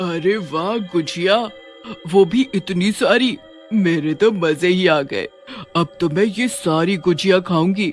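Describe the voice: Clear background music accompanies a cartoonish character voice that talks fairly slowly. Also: man, high pitch for a man.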